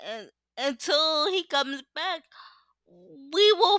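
A woman speaks in a raised, projected voice with a passionate tone and a bright, sharp quality. The recording is very clean with a silent background, and the sound is dry and close with no echo. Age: 20s. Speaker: solo podcaster. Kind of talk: casual monologue.

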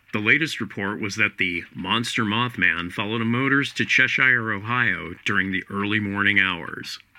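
A man's normal speaking voice with hardly any pauses. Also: fairly low pitch for a man, ordinary pitch variation, moderate pace. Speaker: news announcer in archive clip. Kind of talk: vintage news report reading.

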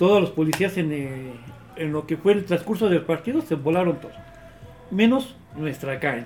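The voice has lively intonation and long, frequent pauses over noticeable background noise. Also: man, high pitch for a man, moderate pace. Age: young. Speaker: football supporters' group member. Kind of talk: casual chat.

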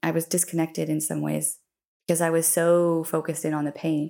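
A woman's plain, everyday voice, fairly low for a woman, with an American accent and a fairly quick pace, in a very clean recording with a silent background. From US, Colorado. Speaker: mother sharing birth stories. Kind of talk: interview, personal storytelling.

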